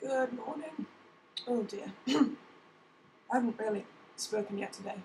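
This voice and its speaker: Noticeable background noise behind a woman at a fairly slow pace, with long, frequent pauses and ordinary pitch variation. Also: fairly high pitch for a woman. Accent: British. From Britain. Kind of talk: casual vlog talk to camera.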